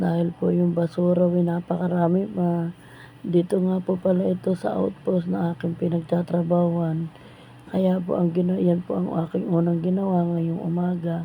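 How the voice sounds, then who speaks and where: At a moderate pace, a woman speaks in a fairly low, somewhat breathy voice with a dark, mellow tone and fairly even intonation. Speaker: vlogger. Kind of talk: vlog voice-over narration. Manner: polite, casual.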